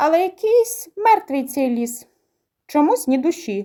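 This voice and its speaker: Using a squeaky, put-on character voice, a woman speaks fairly slowly at a high pitch with very wide pitch swings. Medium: read story. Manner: playful, mocking, spooky howling.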